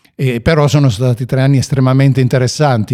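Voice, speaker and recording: A man talks with a dark, mellow tone. The audio is a very clean recording with a silent background. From Piedmont, Ivrea. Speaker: web project founder and former mountain guide. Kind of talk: interview. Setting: event. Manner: halting.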